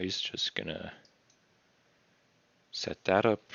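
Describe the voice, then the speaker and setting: This man is soft-spoken and mumbles. He talks at a fairly slow pace. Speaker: artist streamer. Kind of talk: casual live-stream commentary while drawing. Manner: mumbling.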